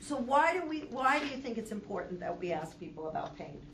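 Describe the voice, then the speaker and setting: Over noticeable background noise, a woman's pitch rises and falls across a very wide range. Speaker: substitute lecturer, healthcare educator. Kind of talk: lecture with class discussion. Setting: classroom with live audience.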